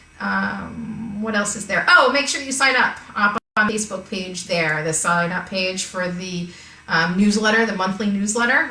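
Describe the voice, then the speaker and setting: Audible room echo and noticeable background noise surround a woman speaking at a moderate pace. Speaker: art teacher. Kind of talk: live-streamed online art class.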